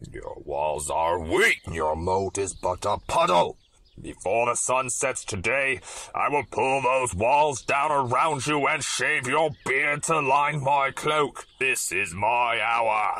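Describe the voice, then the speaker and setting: At a fairly slow pace, a man talks with medium pitch and lively intonation. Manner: taunting, gloating, cruel.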